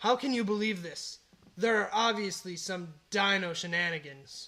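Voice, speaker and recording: In a raised, projected, put-on character voice, a man with a high pitch speaks. His pace is moderate and his pitch variation ordinary. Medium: audio drama. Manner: pompous, menacing.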